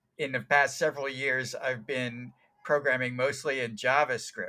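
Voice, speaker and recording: A bright, sharp tone from a man at a medium pitch and moderate pace. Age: 60s. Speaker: tech author and programmer. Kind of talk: interview. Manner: halting, many fillers.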